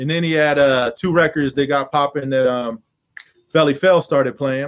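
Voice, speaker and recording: Fairly even in intonation, a man talks at a moderate pace in a fairly high pitch. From Texas (Killeen), military family. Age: 40s. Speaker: rapper and producer. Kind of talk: interview.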